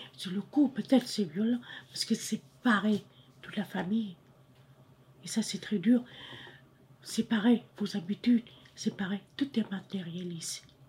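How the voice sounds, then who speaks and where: A woman speaks at a fairly slow pace with long, frequent pauses. Her voice is somewhat breathy, and her loudness swings a lot. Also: medium pitch for a woman, ordinary pitch variation. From Cambodia. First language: Khmer (speaking French). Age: 60s. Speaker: refugee mother. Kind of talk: personal testimony.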